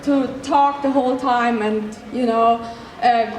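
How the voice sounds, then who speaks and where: In a German accent, a woman speaks at a fairly slow pace with fairly even intonation, amid audible room echo and noticeable background noise. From Germany. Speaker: cosplay armor maker teaching a panel. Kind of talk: convention panel presentation. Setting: stage with audience. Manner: halting, many fillers.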